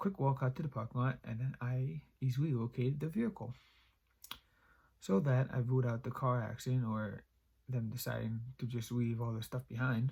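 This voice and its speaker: Speaking at a fairly quick pace, a man has a somewhat breathy voice with a dark, mellow tone. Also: medium pitch for a man, ordinary pitch variation. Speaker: YouTube creepypasta reader. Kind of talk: horror story reading.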